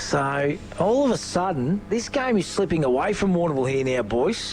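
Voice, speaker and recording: Very wide pitch swings and very even loudness at a moderate pace, with noticeable background noise. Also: man, fairly high pitch for a man. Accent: Australian. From Australia. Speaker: football commentator. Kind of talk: live commentary; casual chat. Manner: animated.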